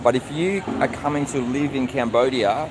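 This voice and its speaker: A man with an Australian accent and ordinary pitch variation, heard over noticeable background noise. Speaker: vlogger. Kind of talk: live stream chat answering viewers.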